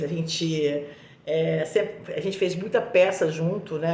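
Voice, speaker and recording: Her fairly low voice has an animated tone and ordinary pitch variation, and audible room echo surrounds this woman's speech. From Brazil, Minas Gerais. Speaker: actress. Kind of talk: interview answers, anecdotal. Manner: animated, hesitant with fillers.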